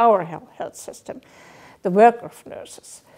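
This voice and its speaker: Over a quiet background, a speaker with a German accent has a dark, mellow tone. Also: woman. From Germany. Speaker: health network advisor. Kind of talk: interview. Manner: halting. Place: home room.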